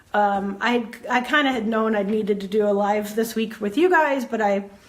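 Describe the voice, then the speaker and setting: A woman's fairly high, animated voice with ordinary pitch variation. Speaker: photography business coach. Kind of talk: casual livestream talk. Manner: fast. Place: home room. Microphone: earbuds.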